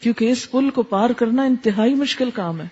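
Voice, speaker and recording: A woman's voice, somewhat breathy, with a dark, mellow tone and ordinary pitch variation. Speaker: Islamic scholar. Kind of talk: religious lecture.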